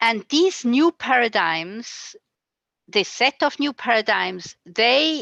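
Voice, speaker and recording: A woman with a fairly high pitch and a bright, sharp tone speaks at a very slow pace with lively intonation. The sound is dry and close with no echo, over a quiet background. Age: 60s. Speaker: community member and speaker. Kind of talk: interpreted talk. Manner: halting.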